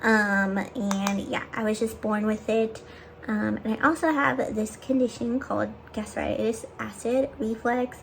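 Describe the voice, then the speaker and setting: Her pitch is fairly high, with ordinary variation, as a woman talks at a fairly slow pace. Noticeable background noise runs underneath. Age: 20s. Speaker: lifestyle vlogger. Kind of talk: casual chat. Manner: casual, filler-heavy.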